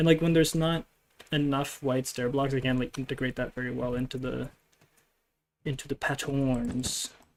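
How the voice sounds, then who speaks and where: With a non-native accent, the speaker uses a relaxed tone at a moderate pace. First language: not English. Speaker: gaming streamer. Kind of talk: casual live stream commentary. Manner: relaxed, chill.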